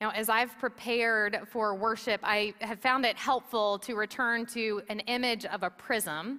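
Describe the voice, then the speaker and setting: Loud and bright with a sharp tone, a woman speaks at a fairly slow pace in a fairly high pitch with fairly even intonation. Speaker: pastor. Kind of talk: sermon. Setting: church. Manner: loud, projecting.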